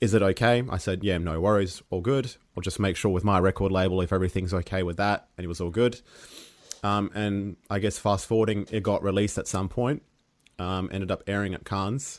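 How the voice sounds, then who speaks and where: Words come out fairly quickly, and the melody of the voice stays fairly even. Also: man, fairly low pitch for a man. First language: Serbian. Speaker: dungeon synth musician. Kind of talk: interview. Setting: podcast. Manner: halting.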